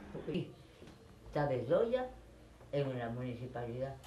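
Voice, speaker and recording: A woman talks at a fairly slow pace, her pitch swinging very widely. Audible room echo and noticeable background noise surround her voice. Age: 90s. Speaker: radio broadcaster. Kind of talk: interview; radio broadcast.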